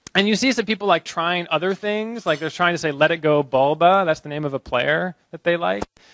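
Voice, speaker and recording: With a dry sound and no echo, a man speaks at a moderate pace, fairly high in pitch, with ordinary pitch variation. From US Northeast, Boston. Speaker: researcher giving a conference talk; conference speaker. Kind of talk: short conference talk. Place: hall. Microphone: handheld.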